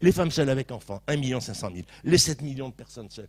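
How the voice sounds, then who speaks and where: A man's dark, mellow voice with vocal fry, in a dry, close sound with no echo. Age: 60s. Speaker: panelist in a public debate. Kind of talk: panel discussion. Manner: fast; animated.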